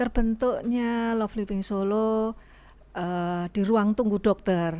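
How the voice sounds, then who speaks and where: A woman's medium-pitched voice, very slow pace, fairly even intonation. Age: 60s. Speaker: breast cancer survivor, foundation organizer. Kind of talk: podcast interview.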